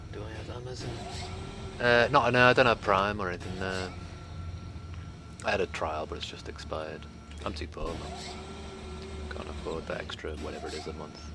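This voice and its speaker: A man's very deep, low voice in a relaxed tone, fairly quick with long, frequent pauses, lively intonation and big swings in loudness, with audible room echo and noticeable background noise. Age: 40s. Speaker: game streamer. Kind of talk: casual chat. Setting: live stream.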